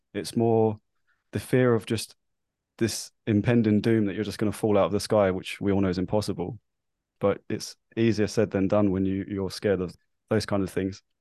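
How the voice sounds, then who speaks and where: A man speaks at a moderate pace in a fairly low voice with a dark, mellow tone. His intonation is monotone and flat, against a quiet background. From London, England. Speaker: guest, former nervous flyer. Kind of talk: casual interview, personal story.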